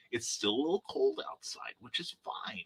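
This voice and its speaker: Here a man is speaking. His pace is moderate. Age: 60s. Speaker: livestream host and independent author. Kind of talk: casual chat reading live comments. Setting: live stream from home. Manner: hesitant, many fillers.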